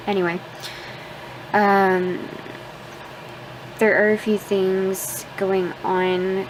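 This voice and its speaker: Over noticeable background noise, a soft-spoken woman with a medium pitch talks in a flat monotone. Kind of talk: casual vlog talk to camera.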